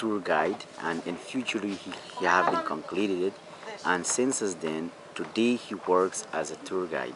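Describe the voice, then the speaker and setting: A man with a fairly low pitch talks at a moderate pace with ordinary pitch variation. Noticeable background noise runs behind him. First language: Wapixana. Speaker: tour guide. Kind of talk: interview answers. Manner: halting, non-native phrasing.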